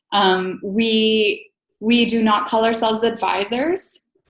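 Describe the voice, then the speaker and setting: In a western Canadian accent, a woman speaks at a very slow pace with a fairly high pitch and fairly even intonation. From Alberta, Canada. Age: 30s. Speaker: financial professional. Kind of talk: interview.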